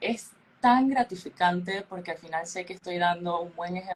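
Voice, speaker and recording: Moderate pace, ordinary pitch variation, and a plain, everyday voice. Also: woman. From Panama. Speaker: beauty pageant queen. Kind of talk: interview. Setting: podcast.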